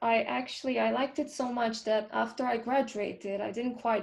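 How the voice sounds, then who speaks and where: A woman's fairly high voice in a Romanian accent, at a moderate pace with fairly even intonation. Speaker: film composer. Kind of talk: interview. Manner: halting.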